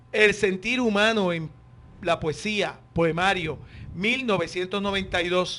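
This man's voice sits at a high pitch and has a bright, sharp tone. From Puerto Rico, Corozal. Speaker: radio host. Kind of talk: radio interview. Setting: radio studio.

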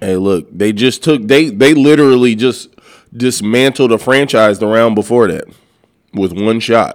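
Delivered at a fairly slow pace, an ordinary speaking voice with an American accent shows ordinary pitch variation. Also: man, medium pitch for a man. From California. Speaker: podcast co-host. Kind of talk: casual banter podcast. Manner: relaxed, jokey, laughs often.

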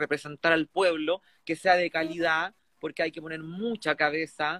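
A man with a fairly high pitch and a bright, sharp tone speaks at a moderate pace in a monotone, flat intonation, the sound dry and close with no echo. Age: 30s. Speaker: constituent assembly candidate. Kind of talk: interview.

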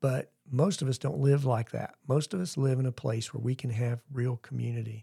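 Medium in pitch and somewhat breathy, a man speaks in a dark, mellow tone with ordinary pitch variation at a moderate pace. The recording is very clean, with a silent background and a dry, close sound with no echo. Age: 60s. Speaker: church member co-hosting podcast. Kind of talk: casual chat.

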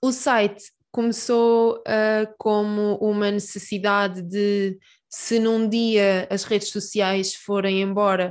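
A woman's medium-pitched voice in a flat monotone against a quiet background. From Portugal, Peniche. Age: 20s. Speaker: PhD student and science communicator. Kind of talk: interview. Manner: hesitant with repetitions.

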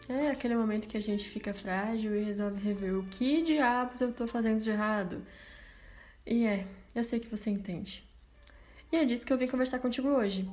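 Speaking at a fairly quick pace yet with long, frequent pauses, a woman with a fairly high, somewhat breathy voice and ordinary pitch variation is heard in audible room echo. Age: 20s. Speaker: podcast host. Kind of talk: solo podcast monologue. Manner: casual and chatty.

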